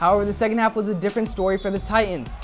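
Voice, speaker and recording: There is music in the background as a man talks at a high pitch. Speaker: sports and news reporter / anchor. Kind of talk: news and sports broadcast reporting.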